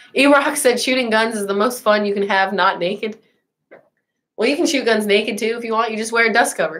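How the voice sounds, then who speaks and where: Speaking with an American accent, a woman sounds animated, her fairly high pitch showing ordinary variation at a fairly quick pace. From Colorado, US. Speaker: gun YouTuber. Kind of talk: livestream chat reading viewer comments. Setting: live stream.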